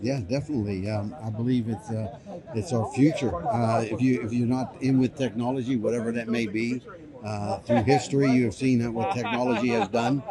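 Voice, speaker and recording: Speech in an American accent moves at a fairly quick pace with fairly even intonation, accompanied by noticeable background noise and audible room echo. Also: man, medium pitch for a man. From United States. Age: 60s. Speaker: business founder and public speaker. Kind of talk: interview. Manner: hesitant, many fillers.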